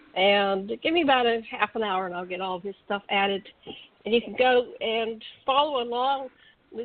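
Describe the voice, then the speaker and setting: A woman with an ordinary speaking voice talks at a fairly high pitch and a moderate pace, with ordinary pitch variation. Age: 60s. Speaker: radio co-host. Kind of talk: casual chat; reading aloud.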